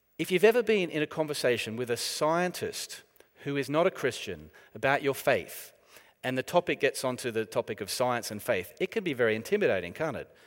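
A man with an Australian accent talks at a fairly quick pace in a fairly high pitch, his voice swinging very widely in pitch and showing vocal fry, on a very clean recording with a silent background. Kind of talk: talk to a church audience. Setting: church with live audience.

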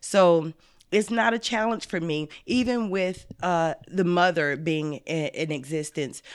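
On a very clean recording with a silent background, a woman with an American accent speaks slowly at a fairly low pitch with ordinary pitch variation. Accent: Southern US, noticeable at times. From US South. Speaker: teacher. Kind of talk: casual interview.

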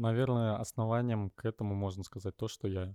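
A man's dark, mellow tone comes through dry and close with no echo, at a moderate pace and fairly even intonation, on a very clean recording with a silent background. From Kazakhstan, Atyrau. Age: 20s. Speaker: safety department specialist, volunteer. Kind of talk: interview.

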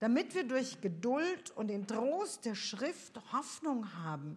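Very slow, fairly high-pitched speech from a woman, full of very wide pitch swings. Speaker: preacher. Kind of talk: sermon. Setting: church. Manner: rhetorical, earnest, pastoral; measured, warm, reflective.

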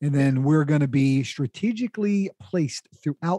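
With an American accent, a man with a fairly high pitch and a dark, mellow, somewhat breathy tone speaks with lively intonation in a dry, close sound with no echo. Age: 40s. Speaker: podcast host. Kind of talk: casual chat. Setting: studio.

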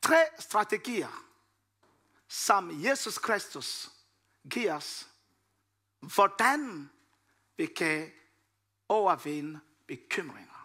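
A man with a Congolese accent speaks at a high pitch with a bright, sharp tone and very wide pitch swings. He goes at a very slow pace with long, frequent pauses, on a very clean recording with a silent background. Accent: French-Congolese accent in Danish. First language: French (speaking Danish). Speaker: preacher. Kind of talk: sermon. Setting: church hall with audience. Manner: halting.

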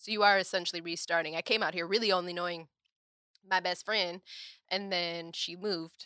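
In a Chicago accent, a woman with a bright, sharp tone and fairly low pitch speaks at a fairly quick pace in a monotone, flat intonation on a very clean recording with a silent background. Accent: Chicago-area American. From Evanston, Illinois, north of Chicago. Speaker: singer and actress. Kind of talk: casual interview chat.

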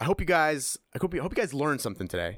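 A man with a fairly high pitch talks in an animated tone with very wide pitch swings and vocal fry, recorded dry and close with no echo, very clean with a silent background. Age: 30s. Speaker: podcast host. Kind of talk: casual chat. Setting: studio.

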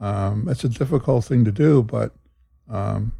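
This man speaks with an American accent at a medium pitch, with ordinary pitch variation. His tone is dark and mellow and somewhat breathy. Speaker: host's father, church deacon. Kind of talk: casual chat. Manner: quiet.

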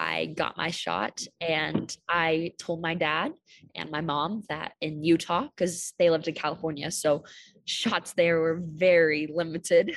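Against a quiet background, a woman with a fairly low pitch speaks at a fairly slow pace with fairly even intonation, a plain, everyday voice. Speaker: student podcast interviewer. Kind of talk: casual interview.

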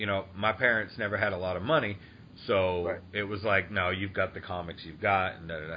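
An unremarkable speaking voice from a man, fairly low in pitch and fairly quick, with fairly even intonation and big swings in loudness. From Massachusetts (Taunton, near Providence). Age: 30s. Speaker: podcast host. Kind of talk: casual chat.

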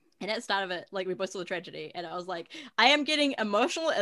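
Very wide pitch swings and a very fast pace mark this woman's speech, in a non-native accent. There is noticeable background noise. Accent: non-American accent, self-described. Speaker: podcast co-host. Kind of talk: casual chat.

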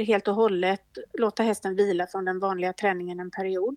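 At a fairly quick pace, a woman speaks in a normal speaking voice with a medium pitch and fairly even intonation, recorded dry and close with no echo. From Sweden, Gothenburg. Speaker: equine veterinarian. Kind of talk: interview.

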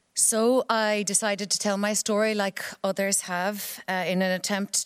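A woman's voice in an Irish accent with fairly even intonation. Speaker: actor and writer. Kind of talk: reading aloud.

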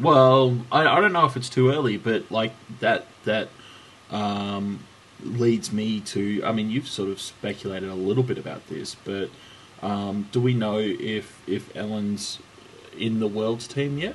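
A man with a Melbourne accent, medium in pitch, ordinary pitch variation, a fairly slow pace, and noticeable background noise. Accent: Australian, Melbourne-type. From Australia. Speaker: cycling podcast host. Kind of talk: casual banter chat.

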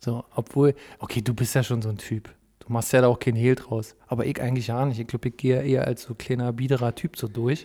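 Very fast and flat in monotone, a man with medium pitch and a dark, mellow tone is captured in dry, close sound with no echo on a very clean recording with a silent background. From East Berlin (Lichtenberg). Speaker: podcast host. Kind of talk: casual chat.

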